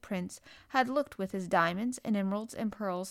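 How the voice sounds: The pitch varies in an ordinary way in a natural reading voice.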